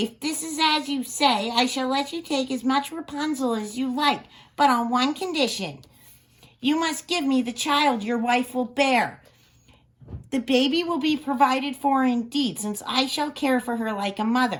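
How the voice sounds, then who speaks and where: A female-sounding, put-on character voice, pitched high, moves at a moderate pace. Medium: read story. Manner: haughty, commanding.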